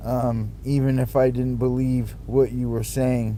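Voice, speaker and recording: A loud man with an American accent speaks at a very slow pace. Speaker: vlogger. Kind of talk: personal monologue vlog. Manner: halting, many fillers and repeats.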